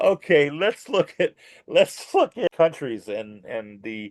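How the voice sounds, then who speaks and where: A man talks with lively intonation. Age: 60s. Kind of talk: casual chat. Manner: halting.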